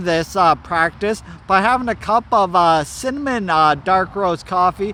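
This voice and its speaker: Over noticeable background noise, a man uses a raised, projected voice with lively intonation. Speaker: motivational vlogger. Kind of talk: casual vlog monologue. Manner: halting, filler-heavy.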